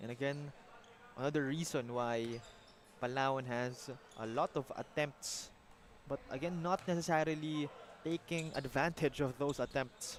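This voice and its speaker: Long, frequent pauses break up this fairly evenly intoned speech in a Filipino accent. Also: man, fairly high pitch for a man, moderate pace. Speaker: basketball play-by-play commentator. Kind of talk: live sports commentary. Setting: live broadcast at a basketball venue.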